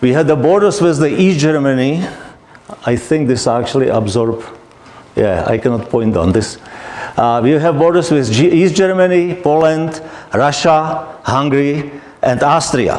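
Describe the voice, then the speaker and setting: A man with a non-native accent speaks at a moderate pace and a fairly high pitch, his intonation lively and his loudness very even. Noticeable background noise and audible room echo fill the recording. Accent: foreign accent, noticeable. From Czechoslovakia. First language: Czech or Slovak. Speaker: guest speaker, immigrant. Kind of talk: talk to an audience.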